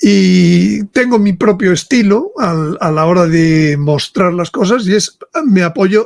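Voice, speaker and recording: With a dry, close sound and no echo, a man talks in a high pitch with lively intonation. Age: 70s. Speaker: author and speaker on religious topics. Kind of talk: interview. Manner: halting, with many repetitions.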